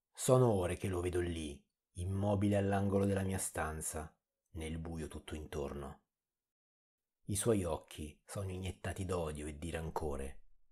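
In a dark, mellow tone, a man with a very deep, low pitch and ordinary pitch variation speaks fairly slowly and somewhat breathily, with long, frequent pauses. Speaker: horror story narrator. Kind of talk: horror story narration, reading creepypasta.

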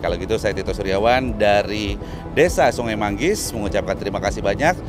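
A man talks at a fairly quick clip over clear background music, the sound dry with no echo. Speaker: conservation program host. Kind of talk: casual vlog chat. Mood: warm, thankful. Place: waterside. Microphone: lapel.

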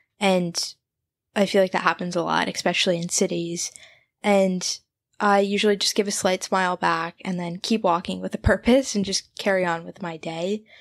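In a very clean recording with a silent background, a woman with an American accent talks at a moderate pace and medium pitch, her intonation fairly even. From New Jersey. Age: 20s. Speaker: podcast host. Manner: monotone.

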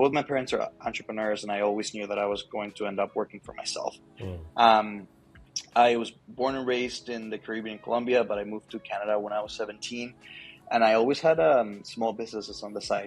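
A man at a fairly quick pace with fairly even intonation, faint music in the background. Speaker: guest. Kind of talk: interview answer. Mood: relaxed, good-humored. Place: office. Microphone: earbuds.

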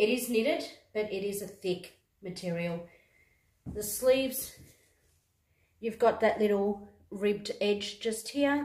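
A woman with an Australian accent speaks at a fairly slow pace with ordinary pitch variation and long, frequent pauses, over a quiet background with audible room echo. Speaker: YouTuber, fashion try-on haul creator. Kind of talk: casual try-on haul video. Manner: animated. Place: home room. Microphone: phone near.

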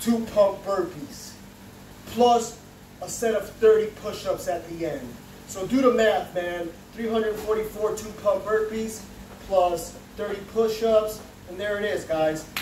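Over light background noise and audible room echo, a man with a high pitch speaks at a very slow pace, with fairly even intonation and long, frequent pauses. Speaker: fitness vlogger. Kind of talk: casual vlog chat. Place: home room. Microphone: camera far.

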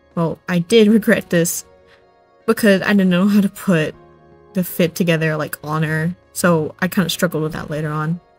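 Over music in the background, a woman with a fairly low pitch talks at a moderate pace with fairly even intonation. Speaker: craft video creator. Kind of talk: casual craft commentary voiceover. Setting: home recording without a microphone, under a duvet. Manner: casual, chatty, hesitant. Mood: friendly, enthusiastic, slightly shy. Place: home room. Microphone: phone near.

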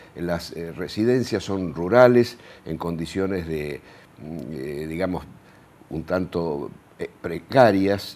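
A man's very deep, low voice, at a very slow pace, with ordinary pitch variation. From Argentina, La Pampa province. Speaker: sociologist and university professor; university professor. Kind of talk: interview. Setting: TV studio. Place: studio. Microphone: lapel.

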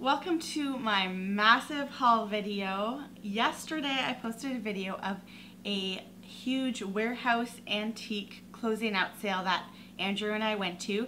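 Bright and sharp in tone, a woman's voice shows ordinary pitch variation over light background noise. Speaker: vintage reseller vlogger. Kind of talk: casual vlog chat. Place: home room.

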